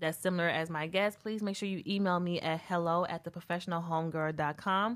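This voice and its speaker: With an American accent, a woman talks at a fairly quick pace in a normal speaking voice with ordinary pitch variation. The recording is very clean, with a silent background. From US South. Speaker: podcast host. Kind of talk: show intro and housekeeping; casual chat.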